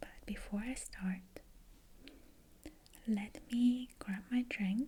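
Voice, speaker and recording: A soft-spoken woman talks at a very slow pace with a high pitch and ordinary pitch variation. Her tone is dark and mellow, calm and gentle. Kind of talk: ASMR video, soft-spoken talk to camera. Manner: soft-spoken, calm, gentle.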